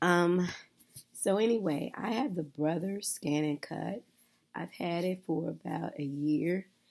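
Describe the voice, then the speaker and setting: A woman's husky voice. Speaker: craft tutorial maker. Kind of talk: casual tutorial talk to camera.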